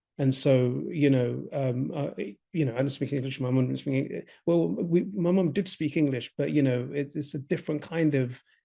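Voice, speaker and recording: A man's fairly high voice in a London accent, dark and mellow in tone, with ordinary pitch variation at a moderate pace. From Ethiopia, raised in London from age eight. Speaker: film director. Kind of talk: interview. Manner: halting, many fillers.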